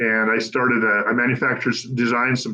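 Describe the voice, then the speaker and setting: A man with an American accent, medium pitch, monotone, flat intonation and a fairly quick pace. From US Pacific Northwest, Olympic Peninsula, Washington. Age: 70s. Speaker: political candidate. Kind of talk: interview. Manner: halting, many fillers.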